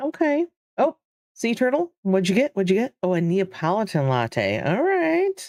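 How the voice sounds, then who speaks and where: The pitch swings very widely, with a Michigan accent. Loudness stays very even throughout. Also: woman, medium pitch for a woman, moderate pace, dry, close sound with no echo. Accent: Midwest Michigan. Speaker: game streamer. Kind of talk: casual live-stream chat.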